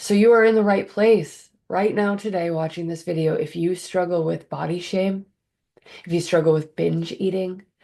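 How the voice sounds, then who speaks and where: Against a quiet background, a woman with a fairly low pitch and a dark, mellow tone speaks at a moderate pace with fairly even intonation. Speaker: life coach. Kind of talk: motivational monologue.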